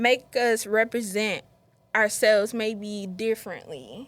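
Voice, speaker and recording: The pace of this woman's speech is very slow. She has an American accent. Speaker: podcast host. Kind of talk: casual chat.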